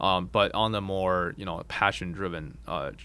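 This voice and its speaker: A man's very deep, low voice with a bright, sharp tone and vocal fry, on a very clean recording with a silent background. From China, moved to Boulder, Colorado at ten. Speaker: video game company founder. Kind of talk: interview. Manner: hesitant, many fillers.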